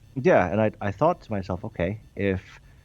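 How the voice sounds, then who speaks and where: A man speaks with a Swedish accent. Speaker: game developer. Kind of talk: interview.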